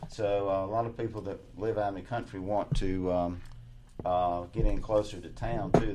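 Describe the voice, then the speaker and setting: A man talks in a fairly low voice at a moderate pace. Noticeable background noise can be heard. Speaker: senior real estate specialist. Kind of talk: radio interview chat. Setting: radio studio.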